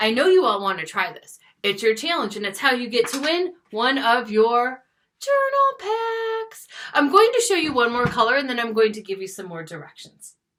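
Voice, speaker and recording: A woman with a high pitch and a bright, sharp tone speaks with very wide pitch swings and big swings in loudness. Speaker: schoolteacher. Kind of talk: classroom video lesson. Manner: fast; animated.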